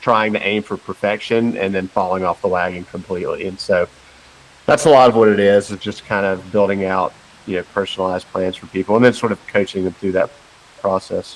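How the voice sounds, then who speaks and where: In a Carolina accent, the voice holds a fairly even intonation. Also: man, fairly low pitch for a man. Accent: slow Carolina drawl. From western North Carolina. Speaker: personal trainer and nutrition coach. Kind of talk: podcast interview.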